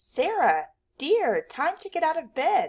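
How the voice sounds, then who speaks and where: A woman's put-on character voice, squeaky and extremely high-pitched, with lively intonation at a fairly slow pace. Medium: read story.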